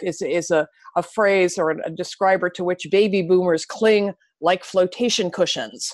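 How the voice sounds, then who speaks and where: A woman with an ordinary speaking voice talks at a moderate pace in a fairly low pitch with fairly even intonation, the sound dry and close with no echo over a quiet background. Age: 60s. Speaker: author and anti-ageism activist. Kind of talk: interview. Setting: podcast interview.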